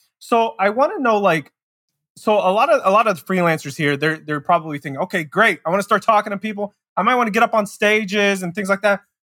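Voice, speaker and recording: Loud and projected, a man with a high pitch and a bright, sharp tone talks very fast with lively intonation in a dry, close sound with no echo. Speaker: podcast co-host. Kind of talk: casual interview. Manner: um-heavy, conversational.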